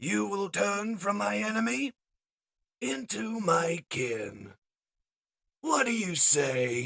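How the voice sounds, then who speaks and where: Raspy and high-pitched, a man performs a put-on character voice at a very slow pace, with very wide pitch swings and long, frequent pauses. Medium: read story. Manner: commanding, grandiose.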